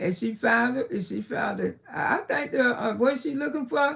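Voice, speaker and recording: A woman with an American accent, animated tone, vocal fry and a moderate pace. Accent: country Geechee Southern. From South Florida, Miami. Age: 60s. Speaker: live-stream commentator. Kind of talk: casual live-stream chat. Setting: live stream from her bedroom.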